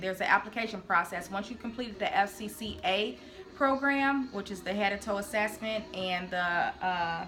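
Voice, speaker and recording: A woman talks at a moderate pace and medium pitch with ordinary pitch variation. Music plays in the background. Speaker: nursing student vlogger. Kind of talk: informational vlog.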